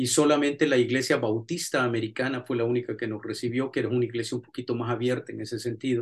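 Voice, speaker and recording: A man talks at a very fast pace, somewhat breathy. His intonation stays monotone and flat. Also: medium pitch for a man. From El Salvador, raised mostly in the USA. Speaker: pastor and theology professor. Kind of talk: lecture.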